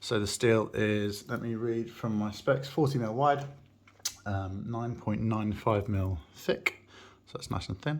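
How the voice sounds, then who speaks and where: At a fairly slow pace, a man with an English accent talks at medium pitch with ordinary pitch variation. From England. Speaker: watch enthusiast YouTuber. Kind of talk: unboxing review. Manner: casual, hesitant with fillers.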